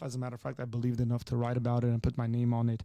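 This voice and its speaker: A man with an Armenian accent, a dark, mellow tone and a very fast pace, on a very clean recording with a silent background. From Armenian culture. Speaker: pastor. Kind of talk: live Q&A advice.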